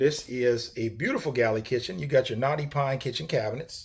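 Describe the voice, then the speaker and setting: A man with a medium pitch and a somewhat breathy voice talks at a moderate pace with ordinary pitch variation. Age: 40s. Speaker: cabin salesman. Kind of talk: sales pitch. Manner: casual, many filler ums.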